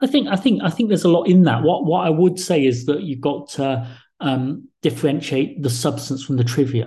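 A man speaks at a moderate pace with hardly any pauses, his intonation lively. His voice is fairly high-pitched, somewhat breathy, with a dark, mellow tone. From England. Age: 40s. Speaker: think tank director and author. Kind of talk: interview.

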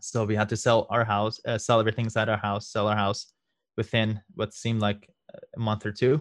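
Flat and monotone, a man talks at a fairly quick pace with a fairly low pitch. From Iran. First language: Farsi. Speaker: lawyer and legal marketing consultant. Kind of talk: interview.

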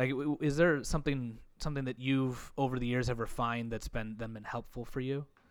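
A man with an American accent and an ordinary speaking voice talks at a medium pitch. His pace is fairly quick, with hardly any pauses and fairly even intonation. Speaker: podcast host. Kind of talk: casual interview. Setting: video call.

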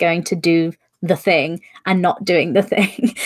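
A plain, everyday voice moves along at a fairly slow pace. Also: woman. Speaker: podcast host. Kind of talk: casual live-streamed interview chat. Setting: live stream.

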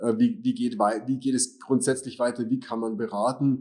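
In a dark, mellow tone, a man speaks at a medium pitch and a fairly slow pace, with ordinary pitch variation. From Germany. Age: 40s. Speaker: financial adviser and YouTuber. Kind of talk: personal introduction to channel.

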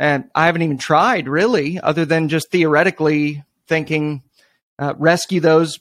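A man with a plain, everyday voice speaks at a moderate pace in a fairly high pitch, his intonation fairly even and the sound dry and close with no echo. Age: 30s. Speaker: pastor and anti-abortion activist. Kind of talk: interview conversation.

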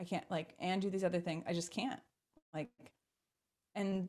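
A plain, everyday voice from a woman with an American accent, medium pitch and a fairly quick pace. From US, Baltimore, Maryland. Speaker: keynote speaker and leadership trainer. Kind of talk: podcast interview.

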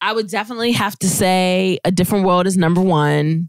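A normal speaking voice comes through at a moderate pace on a very clean recording with a silent background. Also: woman. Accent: American. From Virginia Beach, Virginia. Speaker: host's wife, guest. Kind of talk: casual chat. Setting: Facebook and Instagram livestream at home.

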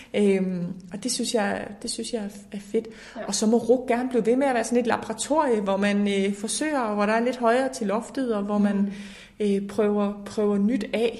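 A woman speaks at a moderate pace with a fairly high pitch and fairly even intonation. She has a plain, everyday voice. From Denmark, Horsens (East Jutland). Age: 20s. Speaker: politician. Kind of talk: interview. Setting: parliament building office.

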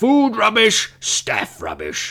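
A man puts on a character voice with very wide pitch swings. The recording is very clean, with a silent background. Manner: complaining, indignant.

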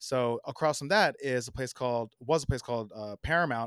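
A man with an American accent speaks at a medium pitch, with ordinary pitch variation. The recording is very clean, with a silent background. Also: dry, close sound with no echo. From US Northeast, New Jersey (South Orange). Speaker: designer and artist. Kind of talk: casual interview. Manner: halting, many fillers.

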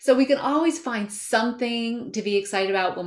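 A woman with a fairly high pitch and lively intonation has an unremarkable speaking voice. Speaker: health coach. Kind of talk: panel discussion. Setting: video call.

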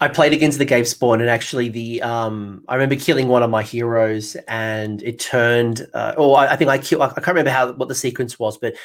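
Someone talks at a moderate pace with an Australian accent. The recording is very clean, with a silent background. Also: man. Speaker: podcast host. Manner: casual, enthusiastic.

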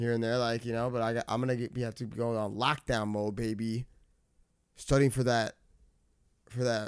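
With a New York accent, a man of medium pitch talks at a moderate pace in monotone, flat intonation, taking long, frequent pauses, in a very clean recording with a silent background. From New York, Westchester. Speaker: recording artist. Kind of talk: casual chat.

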